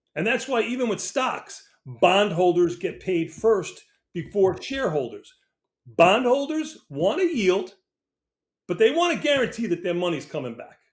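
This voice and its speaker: A man with an American accent talks at a moderate pace and a high pitch, with long, frequent pauses. His pitch swings very widely and his loudness rises and falls in big swings. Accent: New York accent, comes out sometimes. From New York. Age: 60s. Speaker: options trader. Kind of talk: interview.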